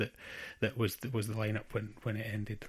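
A man with a Scottish accent talks in a fairly low, somewhat breathy voice with monotone, flat intonation. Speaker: drummer and charity founder. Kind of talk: interview answers. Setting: video call. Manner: halting.

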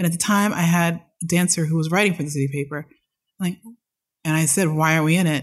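Somewhat breathy and fairly low in pitch, a woman speaks very fast with very even loudness and fairly even intonation, yet leaves long, frequent pauses. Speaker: choreographer and dance company director. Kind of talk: casual chat. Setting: at home.

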